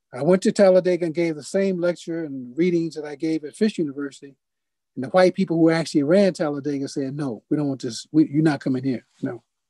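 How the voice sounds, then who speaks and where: A man talks very fast in a fairly high voice with a dark, mellow tone, ordinary pitch variation and big swings in loudness. The sound is dry with no echo, and the background is quiet. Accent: American. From US Midwest (Detroit). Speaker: poet and publisher; poet. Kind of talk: lecture. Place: home room. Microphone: video call.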